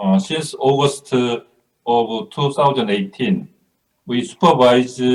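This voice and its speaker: The speaker has a Korean accent and ordinary pitch variation. The pace is very slow. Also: man. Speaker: police official. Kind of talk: conference panel presentation.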